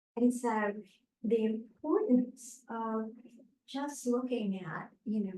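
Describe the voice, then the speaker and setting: A woman with a fairly high pitch and a dark, mellow tone speaks at a fairly slow pace. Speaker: meditation teacher. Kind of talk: dharma talk. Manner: quiet; halting.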